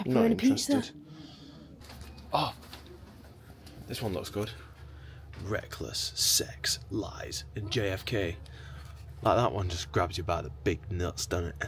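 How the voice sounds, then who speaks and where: A man with a Sheffield accent speaks fairly slowly with a very deep, low pitch, lively intonation and long, frequent pauses over light background noise. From Sheffield, Yorkshire; England. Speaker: music producer. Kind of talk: casual vlog talk. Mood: joking, irreverent. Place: shop. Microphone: phone near.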